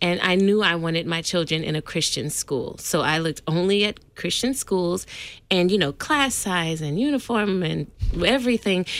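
With an American accent, a woman uses a plain, everyday voice, talking at a moderate pace with lively intonation. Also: fairly low pitch for a woman. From California. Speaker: school parent and school office worker. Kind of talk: radio interview. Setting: studio.

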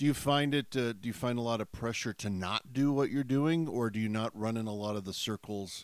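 A man with an unremarkable speaking voice talks at a fairly quick pace and a medium pitch, with ordinary pitch variation and hardly any pauses. The recording is very clean, the background silent. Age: 50s. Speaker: pastor and campus ministry radio host. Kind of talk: casual interview.

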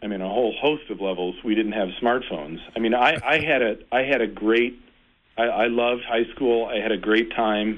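A man with an ordinary speaking voice talks at a fairly quick pace and a medium pitch. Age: 40s. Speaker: Lutheran pastor. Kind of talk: casual chat.

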